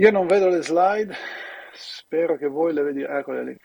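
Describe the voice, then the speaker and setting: A man's voice at a moderate pace, with fairly even intonation. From Italy. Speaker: university professor and researcher. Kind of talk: remote lecture presentation. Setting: video call from the US. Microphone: strong echo in headphones.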